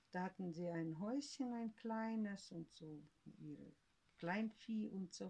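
Speaking at a very slow pace, a woman with a medium pitch and a dark, mellow, somewhat breathy tone uses ordinary pitch variation. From Siberia, Russia. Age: 70s. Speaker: grandmother, eyewitness of family history. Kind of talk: oral history interview. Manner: halting.

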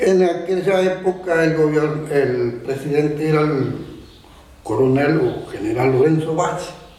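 Amid noticeable background noise and audible room echo, a man speaks fairly slowly at a fairly high pitch, his loudness very even. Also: ordinary pitch variation. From Uruguay, rural Tacuarembó. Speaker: rural horseman and local historian. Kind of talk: oral history testimony. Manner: halting.

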